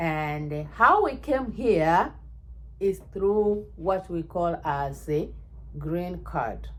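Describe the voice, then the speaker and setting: A woman with a Kenyan accent at a very slow pace. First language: Ekegusii (Kisii). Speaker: vlogger. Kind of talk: casual chat. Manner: animated.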